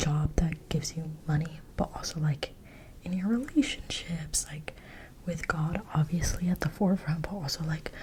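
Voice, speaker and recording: Over noticeable background noise, a soft-spoken woman whispers. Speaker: ASMR creator, Bible study reader. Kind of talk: ASMR Bible study ramble. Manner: soft-spoken, whispery, repeating words.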